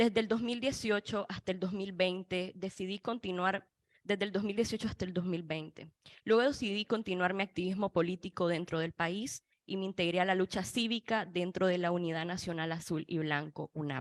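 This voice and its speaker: Recorded with a dry, close sound and no echo, a woman with a normal speaking voice talks at medium pitch and a moderate pace with ordinary pitch variation. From Nicaragua. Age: 20s. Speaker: student activist and former political prisoner. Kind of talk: panel testimony. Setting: panel event in Washington.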